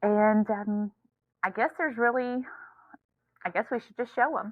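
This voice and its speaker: Speaking with an American accent, a woman keeps a moderate pace, with ordinary pitch variation and big swings in loudness. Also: fairly high pitch for a woman. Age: 30s. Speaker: podcast co-host. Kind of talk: casual chat.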